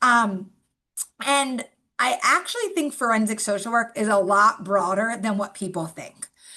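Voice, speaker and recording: A woman's bright, sharp voice, fairly high in pitch, at a fairly slow pace with ordinary pitch variation. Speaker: forensic social worker, guest lecturer. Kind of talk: lecture. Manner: informal, filler-heavy.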